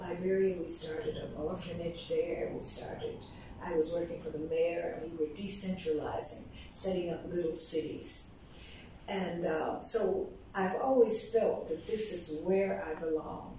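A woman with an American accent, fairly slow and fairly even in intonation, over light background noise amid strong room echo. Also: fairly low pitch for a woman. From US South, South Carolina. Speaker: diplomat, founder of diaspora organization. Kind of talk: interview. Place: office.

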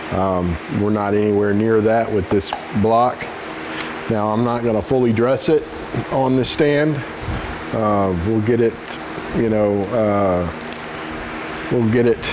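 Over noticeable background noise, a man with a fairly low pitch speaks at a fairly slow pace with fairly even intonation. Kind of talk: tutorial. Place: garage.

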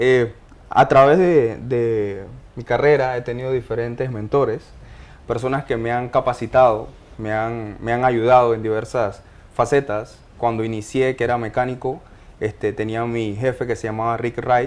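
A man talks at a fairly slow pace, his intonation fairly even. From Panama, Los Uveros de Penonomé; Panama. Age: 30s. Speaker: mining engineer; guest. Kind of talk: interview testimony. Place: studio. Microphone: lapel.

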